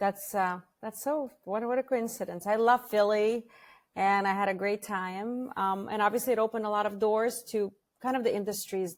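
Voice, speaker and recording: Talking at a fairly quick pace, a woman with a slight Russian accent keeps her pitch in the medium range. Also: very clean recording, silent background. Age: 40s. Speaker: franchise founder. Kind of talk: podcast interview.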